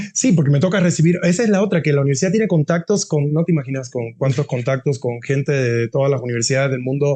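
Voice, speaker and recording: The speaker goes at a very fast pace with hardly any pauses and very even loudness. The voice is somewhat breathy, with ordinary pitch variation. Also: man, fairly high pitch for a man. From Cuba. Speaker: university dean. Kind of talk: interview. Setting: podcast. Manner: halting, many repetitions; animated.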